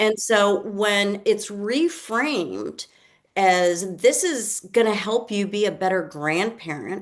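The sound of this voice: A woman at a slow pace with lively intonation. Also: medium pitch for a woman.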